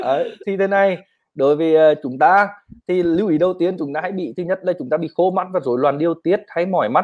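A man's high voice with a Northern Vietnamese accent, ordinary pitch variation and a fairly quick pace. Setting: video call livestream.

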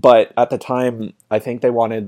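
In a dark, mellow tone with a Maritime Canadian accent, the voice stays monotone and flat, with a dry, close sound and no echo. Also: man. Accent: Canadian (Maritimes). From Canada, small town in New Brunswick. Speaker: podcast guest, Korean culture enthusiast. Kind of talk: casual chat.

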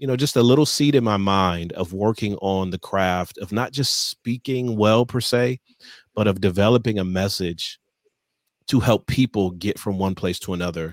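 In a very clean recording with a silent background and a dry, close sound with no echo, a man uses an ordinary speaking voice of fairly low pitch at a moderate pace with ordinary pitch variation. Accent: American. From Michigan, Detroit area. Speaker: leadership consultant and author. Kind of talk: interview.

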